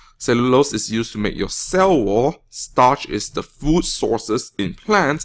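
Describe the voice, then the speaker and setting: In a Malaysian accent, this voice moves at a very slow pace with very wide pitch swings, on a very clean recording with a silent background. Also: man. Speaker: teacher. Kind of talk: classroom test review lecture.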